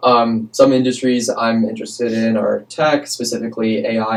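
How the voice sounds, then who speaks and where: Using a normal speaking voice, a man with an American accent talks at a moderate pace and medium pitch with fairly even intonation. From New York. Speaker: student intern, podcast co-host. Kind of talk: casual podcast chat.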